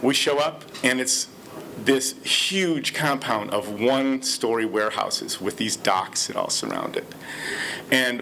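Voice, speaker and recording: Noticeable background noise sits behind a man with an American accent and ordinary pitch variation. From Detroit, Michigan, US. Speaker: storyteller. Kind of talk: personal storytelling.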